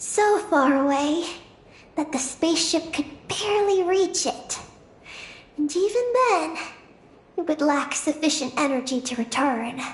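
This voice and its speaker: A high-pitched, put-on character voice at a moderate pace, with long, frequent pauses. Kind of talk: solemn lore narration. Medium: video game. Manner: measured, calm.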